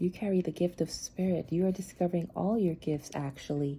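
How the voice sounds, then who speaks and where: A woman's dark, mellow, somewhat breathy voice, fairly low in pitch, at a moderate pace. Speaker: tarot reader. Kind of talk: collective tarot reading. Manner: repetitive, stammering.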